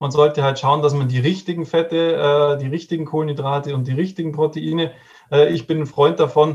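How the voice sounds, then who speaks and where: A man talks at a fairly high pitch in a somewhat breathy voice. His intonation is monotone and flat. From Bavaria, Regensburg. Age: 30s. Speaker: nutrition and fitness coach. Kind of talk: interview.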